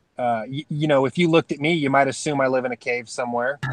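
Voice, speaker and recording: A man with a normal speaking voice, fairly high in pitch for a man, at a fairly quick pace, with ordinary pitch variation and a dry, close sound with no echo. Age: 30s. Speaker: off-grid living youtuber. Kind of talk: casual chat.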